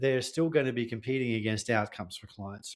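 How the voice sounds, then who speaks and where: This is a man speaking with an Australian accent. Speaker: tech sales consultant. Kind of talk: podcast interview.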